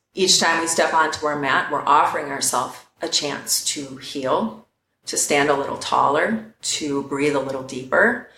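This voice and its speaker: A woman's very deep, low voice with audible room echo. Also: ordinary pitch variation, moderate pace. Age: 40s. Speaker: yoga teacher. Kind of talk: casual chat.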